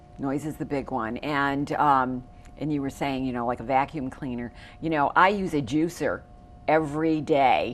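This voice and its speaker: Speaking at a moderate pace, a woman uses a very deep, low pitch with fairly even intonation. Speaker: TV show host. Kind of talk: TV interview. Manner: loud.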